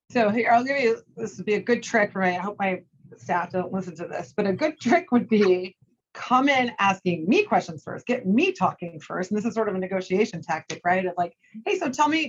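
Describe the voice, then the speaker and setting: Here is a woman with a medium-pitched, somewhat breathy voice. Her intonation is lively. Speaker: sports media executive. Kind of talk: interview conversation. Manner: fast talker.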